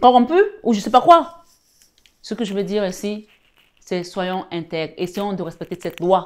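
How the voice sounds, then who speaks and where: Using long, frequent pauses, a woman speaks at a moderate pace with lively intonation and big swings in loudness. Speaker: spiritual guide and tarot reader. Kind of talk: sermon-like preaching with prayer and exhortation. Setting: online video, live-stream. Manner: fervent, exhortative, repeating phrases for emphasis; warm, intimate, addressing viewers as 'belles âmes'. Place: home room.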